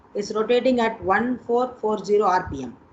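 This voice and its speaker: Audible room echo colors the fairly high-pitched voice of a woman. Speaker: college teacher. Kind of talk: online lecture.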